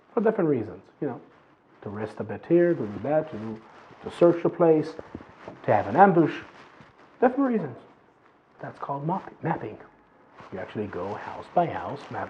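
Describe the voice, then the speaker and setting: With an American accent, a man at fairly high pitch makes very wide pitch swings and big swings in loudness, leaving long, frequent pauses over noticeable background noise. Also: moderate pace. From Israel, Jerusalem. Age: 20s. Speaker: former soldier. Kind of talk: interview testimony.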